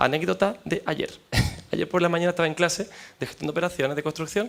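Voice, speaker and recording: Very fast and fairly even in intonation, a man speaks in a high-pitched voice. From Spain. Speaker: professor and researcher. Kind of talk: panel discussion. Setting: seminar panel with audience.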